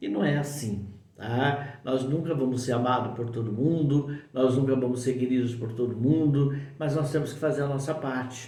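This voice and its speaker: Noticeable background noise and audible room echo surround this recording. A man speaks at a medium pitch and a moderate pace with fairly even intonation. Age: 60s. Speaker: spiritual teacher. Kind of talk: spiritual talk to camera. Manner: informal, conversational with fillers.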